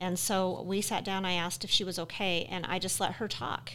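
A woman speaks with an American accent. She has an unremarkable speaking voice. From Utah. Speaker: podcast co-host. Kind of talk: casual podcast chat. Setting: studio.

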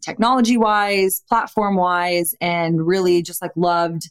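This is a woman with an unremarkable speaking voice and an American accent. Her pitch is medium and her intonation fairly even. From Austin, Texas. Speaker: cannabis company founder. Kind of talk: interview.

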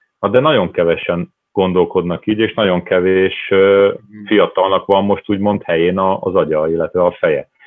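A man speaking at a moderate pace, his loudness very even. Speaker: football academy director. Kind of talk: panel discussion.

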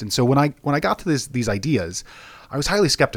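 Lively intonation marks this man's speech in a western Canadian accent. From Alberta, Canada. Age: young. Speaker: guest sharing life wisdom. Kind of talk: casual interview.

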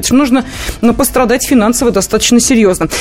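Against noticeable background noise, a woman talks with a fairly high pitch. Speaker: radio host. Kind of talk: casual chat.

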